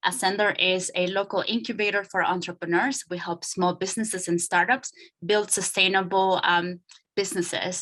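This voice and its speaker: A woman with a Spanish accent speaks at a medium pitch and a moderate pace, with a bright, sharp tone and fairly even intonation. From Nicaragua. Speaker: startup incubator director. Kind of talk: panel talk. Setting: video call. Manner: hesitant, many fillers.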